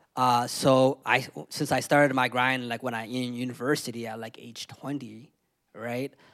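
In a Canadian accent, a man speaks at a medium pitch and moderate pace with monotone, flat intonation, on a very clean recording with a silent background. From London, Ontario, Canada. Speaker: music show host and interviewer. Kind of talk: panel discussion. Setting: live event with audience.

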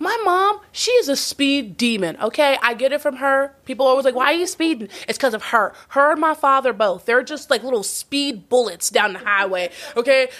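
A woman with an American accent speaks at a moderate pace in a high pitch. Her tone is animated, with very wide pitch swings. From Texas. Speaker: podcast host. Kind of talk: casual interview chat. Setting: in-person studio recording.

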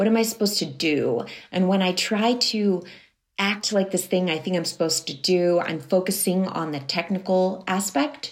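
At a moderate pace, a woman with a medium pitch and a normal speaking voice talks with ordinary pitch variation. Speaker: musician and life coach. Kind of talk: interview.

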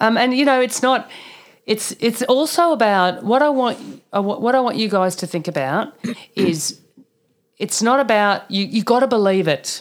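With an Australian accent, a woman talks at a moderate pace in a fairly high pitch with lively intonation. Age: 50s. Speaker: naturopath. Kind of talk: casual chat.

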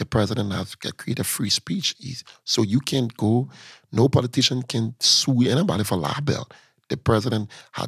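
The voice carries vocal fry. The sound is dry and close with no echo, in a very clean recording with a silent background. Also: man. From Liberia (Lofa County, raised in Monrovia). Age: young. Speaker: city mayor and politician. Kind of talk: interview.

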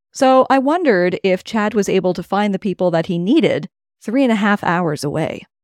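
Against a quiet background, a woman with a Cape Breton accent speaks at a fairly quick pace with lively intonation, the sound dry and close with no echo. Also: medium pitch for a woman. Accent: Cape Breton Canadian. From Nova Scotia, Cape Breton (Richmond County, Acadian community). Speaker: podcast host and producer. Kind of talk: scripted narration with interview questions.

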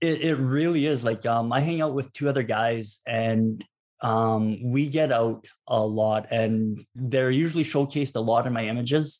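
A plain, everyday voice at a moderate pace with hardly any pauses, ordinary pitch variation and very even loudness, over a quiet background. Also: man, medium pitch for a man. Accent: Canadian. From Canada, southern Alberta. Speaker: travel photographer. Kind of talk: interview.

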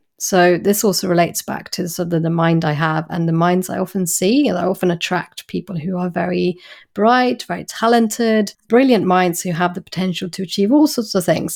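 With an English accent, a woman speaks at a fairly quick pace and medium pitch with ordinary pitch variation and hardly any pauses, in a very clean recording with a silent background. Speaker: clinical psychologist. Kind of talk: interview.

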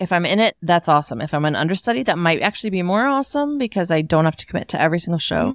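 A woman with a fairly low voice talks very fast with hardly any pauses, her animated tone sweeping through very wide pitch swings, recorded dry and close with no echo and very clean against a silent background. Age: middle-aged. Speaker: podcast co-host, mom and stage performer. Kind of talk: casual chat.

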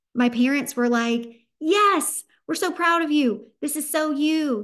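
A woman talks with a Southern US accent in a warm, upbeat tone and ordinary pitch variation. The background is quiet. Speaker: podcast host and business founder. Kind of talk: solo podcast monologue, motivational. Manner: warm, upbeat, animated.

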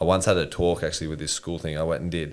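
Speaking with an Australian accent, a man uses a very deep, low pitch. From Australia, Newcastle NSW. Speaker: army veteran and builder, mental health advocate. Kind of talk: casual interview chat.

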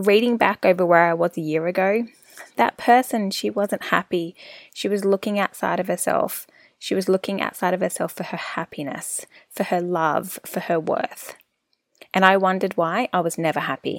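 At a moderate pace and medium pitch, a woman speaks in an ordinary speaking voice with ordinary pitch variation, in a dry, close sound with no echo on a very clean recording with a silent background. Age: 30s. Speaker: wellness podcast host. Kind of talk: solo podcast monologue, personal reflection. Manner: warm, conversational, upbeat.

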